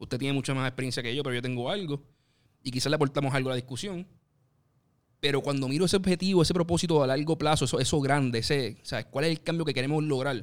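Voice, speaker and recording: A man with a fairly high pitch, ordinary pitch variation and a very fast pace. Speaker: podcast co-host, columnist. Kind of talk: casual discussion.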